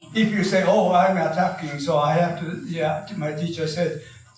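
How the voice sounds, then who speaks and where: A man's high-pitched voice at a moderate pace, with audible room echo and music in the background. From Japan. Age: 80s+. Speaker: karate master. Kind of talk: talk to an audience. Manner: halting, many fillers.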